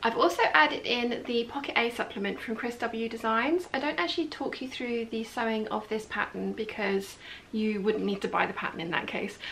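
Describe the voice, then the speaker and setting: Speaking at a fairly quick pace with hardly any pauses, a woman shows ordinary pitch variation over light background noise. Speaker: sewing tutorial host. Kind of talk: tutorial. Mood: friendly, upbeat. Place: home room.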